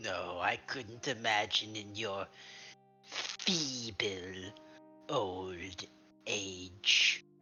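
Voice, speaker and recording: A put-on character voice at a very slow pace, with clear music in the background. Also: man, fairly low pitch for a man. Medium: actual play. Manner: terse, probing.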